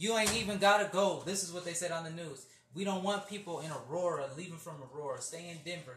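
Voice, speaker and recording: Over noticeable background noise and audible room echo, a man with a high pitch talks at a very fast pace, with ordinary pitch variation and big swings in loudness. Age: 20s. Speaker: podcast host. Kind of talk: casual chat.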